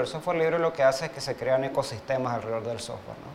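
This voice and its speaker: Noticeable background noise is present. Against it, a man talks very fast, his pitch varying in an ordinary way. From Uruguay, Montevideo. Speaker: web developer. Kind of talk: interview. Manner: hesitant, many fillers.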